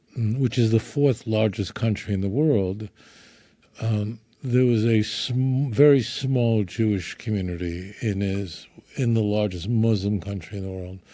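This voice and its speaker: In a New York accent, a man talks at a fairly low pitch. His tone is dark and mellow. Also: ordinary pitch variation, fairly slow pace. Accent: New York (Brooklyn) American. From New York, Brooklyn. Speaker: rabbi. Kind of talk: friendly interview conversation.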